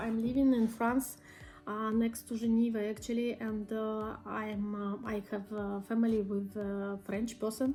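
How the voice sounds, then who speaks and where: The woman's voice has a dark, mellow tone and a fairly high pitch. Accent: non-native. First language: not English. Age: 30s. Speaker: YouTuber, perfume reviewer. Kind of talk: casual vlog monologue. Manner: hesitant, many fillers.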